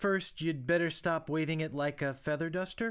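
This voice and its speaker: Delivered at a moderate pace and middle pitch, the voice is a put-on character voice. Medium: video game. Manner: brash, comic.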